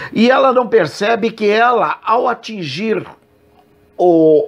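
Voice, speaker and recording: A man with a Brazilian accent and a high-pitched voice. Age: 60s. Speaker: evangelical preacher and program host; evangelical preacher, program host. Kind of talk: religious commentary monologue. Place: home room. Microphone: earbuds.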